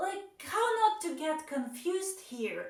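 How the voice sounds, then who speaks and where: A woman in a Russian accent, with lively intonation, a fairly slow pace and audible room echo. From Belarus. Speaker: vlogger. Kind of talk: casual vlog monologue.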